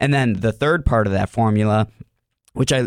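With an American accent, a man speaks in an ordinary speaking voice at a fairly quick pace, medium in pitch with ordinary pitch variation, on a very clean recording with a silent background. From US Midwest, Cleveland, Ohio. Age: 30s. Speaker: mental performance coach, former wrestler. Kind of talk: casual interview chat.

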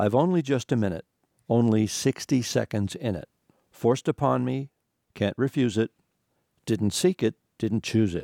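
Long, frequent pauses break up a man's dark, mellow tone, which has lively intonation and a dry, close sound with no echo. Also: medium pitch for a man, moderate pace. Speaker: radio host and writer. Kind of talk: radio hosting, casual banter and short contemplative reading. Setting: radio studio. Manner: jovial, playful, articulate.

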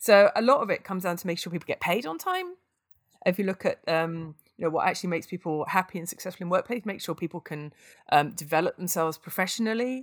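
Speaking at a very fast pace with a British accent, this voice has ordinary pitch variation and a dry, close sound with no echo on a very clean recording with a silent background. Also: woman, medium pitch for a woman. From UK. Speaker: aid worker. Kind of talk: interview conversation.

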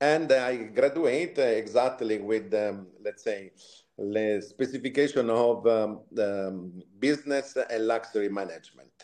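With an Italian accent, a man speaks fairly slowly at a medium pitch with ordinary pitch variation. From Italy, Tuscany. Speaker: retail executive. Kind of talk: interview.

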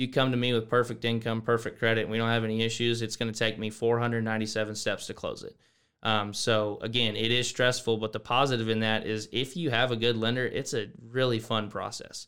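The speaker has a Texan accent and talks at a very fast pace with monotone, flat intonation. The recording is very clean with a silent background. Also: man, medium pitch for a man. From Texas, small town near San Antonio. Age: 20s. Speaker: mortgage loan officer and college student. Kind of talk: casual interview. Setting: studio.

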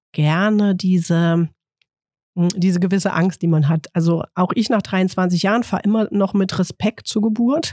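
Very slow speech with ordinary pitch variation, dry and close with no echo. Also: woman. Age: 40s. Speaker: midwife. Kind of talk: casual interview chat.

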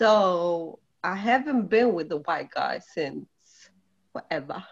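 A woman at medium pitch with lively intonation and a very slow pace. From Poland. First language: Polish. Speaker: guest. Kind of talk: casual chat.

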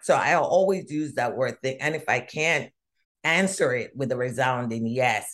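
Her voice is very deep and low for a woman, with lively intonation. The woman speaks at a moderate pace. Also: quiet background. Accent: Jamaican. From Jamaica. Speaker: diversity consultant. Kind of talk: interview conversation. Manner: animated.

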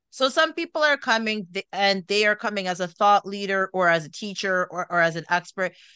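With a bright, sharp tone and medium pitch, a woman talks at a fairly quick pace with hardly any pauses against a quiet background. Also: lively intonation, dry, close sound with no echo. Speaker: podcast host and wellness coach. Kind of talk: casual interview chat. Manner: animated.

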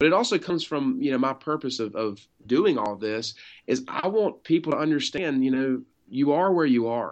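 Against a quiet background, a man with a normal speaking voice talks at a moderate pace and a medium pitch. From North Carolina, Wilmington. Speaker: insurance agency owner. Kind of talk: interview.

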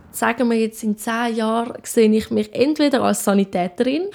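A woman speaks at a fairly slow pace. Her voice is fairly high in pitch with a dark, mellow tone. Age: young. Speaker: apprentice care worker. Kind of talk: interview.

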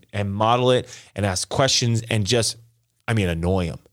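With a General American accent, a man speaks at a fairly quick pace in a normal speaking voice. His pitch is fairly low with ordinary variation, on a very clean recording with a silent background. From Las Vegas, Nevada, US. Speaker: pastor. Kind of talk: testimony.

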